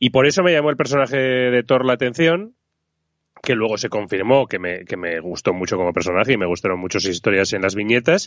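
A man in a normal speaking voice talks at a medium pitch and a fairly quick pace, with lively intonation. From Spain, Zaragoza (Aragon). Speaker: podcast co-host. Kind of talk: casual chat.

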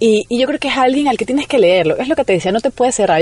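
A woman's intonation sounds lively despite noticeable background noise. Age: 30s. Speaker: writer and journalist, radio broadcaster. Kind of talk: radio interview.

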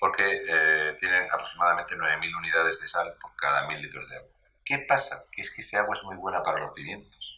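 A man talks at a fairly quick pace. His loudness swings widely from moment to moment. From Spain, Murcia. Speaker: social media commentator on agriculture. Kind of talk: casual interview.

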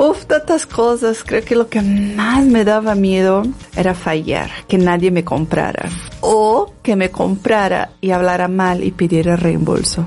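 Very slow speech in a Portuguese accent at very even loudness, over noticeable background noise. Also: woman, medium pitch for a woman, ordinary pitch variation. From Brazil, favela. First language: Portuguese (speaking Spanish). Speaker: dancer and women's wellness coach. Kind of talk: interview.

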